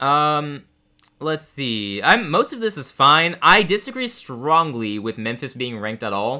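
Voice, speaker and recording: Recorded very cleanly against a silent background, the voice carries a bright, sharp tone with an American accent. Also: man. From Texas. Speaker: sports streamer. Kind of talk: live game reaction commentary. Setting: live stream. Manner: casual, with frequent fillers.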